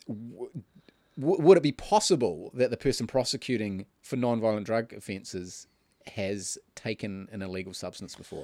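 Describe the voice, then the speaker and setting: A man with a New Zealand accent, a dark, mellow tone, lively intonation, a moderate pace and big swings in loudness. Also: medium pitch for a man. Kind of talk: casual banter podcast chat.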